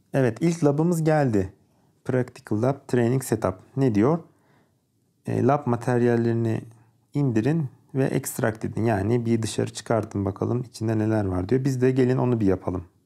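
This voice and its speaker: Dark and mellow in tone, a man's medium-pitched voice moves at a moderate pace with ordinary pitch variation. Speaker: electronics engineer and tech YouTuber. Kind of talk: tutorial. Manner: hesitant, frequent fillers. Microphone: good microphone.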